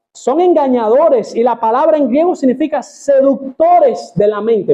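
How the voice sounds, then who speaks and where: With lively intonation, a man keeps a moderate pace as he speaks. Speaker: pastor. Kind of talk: sermon. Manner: animated.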